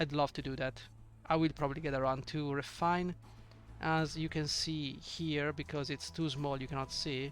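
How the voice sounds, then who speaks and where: Delivered in a non-native accent at a moderate pace, the speech has monotone, flat intonation, with music in the background. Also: man. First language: not English. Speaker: indie game developer. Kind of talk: devlog screen walkthrough. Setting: at home at night. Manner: hesitant, stammering.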